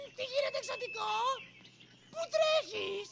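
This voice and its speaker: Pitched extremely high, the voice is a cartoonish character act. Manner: cheeky, playful.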